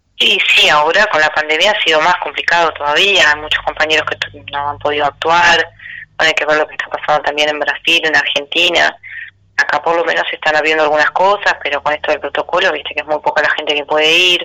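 Over noticeable background noise, a woman talks in a very deep, low pitch with a monotone, flat intonation. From Uruguay, Melo near the Brazilian border. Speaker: singer-songwriter. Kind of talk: interview. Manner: halting, with frequent repetitions.

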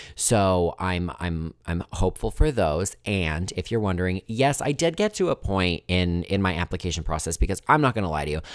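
A man's very deep, low voice at a moderate pace, with ordinary pitch variation, hardly any pauses and a very clean recording, silent background. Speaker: podcast host, unemployed journalist. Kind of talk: casual solo monologue. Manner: filler-heavy, repetitive.

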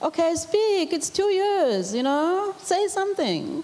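A woman speaks over noticeable background noise. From South Africa, KwaZulu-Natal rural village. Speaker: former state enterprise executive. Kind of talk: panel talk at business breakfast. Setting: breakfast event with audience.

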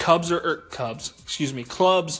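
A man's high-pitched voice amid noticeable background noise. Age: 20s. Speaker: sports podcast co-host. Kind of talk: casual chat.

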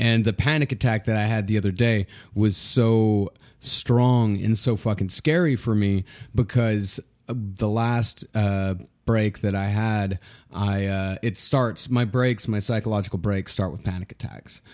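Recorded very cleanly with a silent background, a man with an American accent speaks fairly slowly in a normal speaking voice, fairly low in pitch with fairly even intonation. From Texas. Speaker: comedy podcast co-host. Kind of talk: casual chat.

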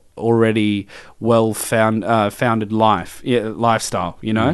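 A man speaks at a fairly slow pace with an ordinary speaking voice at a medium pitch. The background is quiet. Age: 20s. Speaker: podcast host. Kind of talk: casual chat.

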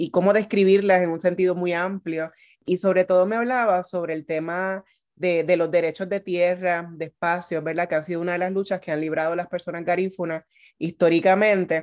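A woman with a fairly low pitch speaks fairly quickly in a monotone, flat intonation. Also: quiet background. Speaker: radio host. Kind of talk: interview; scripted introduction.

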